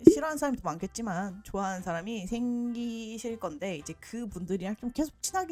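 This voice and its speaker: With lively intonation and a fairly quick pace, a woman talks as noticeable noise sounds in the background. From South Korea. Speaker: YouTuber giving career advice. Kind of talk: casual vlog tutorial. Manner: animated.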